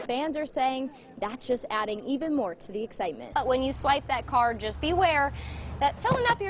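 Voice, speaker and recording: Over noticeable background noise, a woman with a high voice speaks at a fairly quick pace and with lively intonation. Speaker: TV news anchor and reporter. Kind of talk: TV news anchor read.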